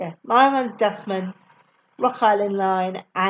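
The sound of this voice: Over a quiet background comes an unforced reading voice, its pitch varying in an ordinary way.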